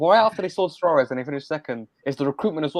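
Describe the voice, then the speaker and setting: Here a man talks at a fairly high pitch. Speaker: football podcast guest. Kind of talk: casual football banter.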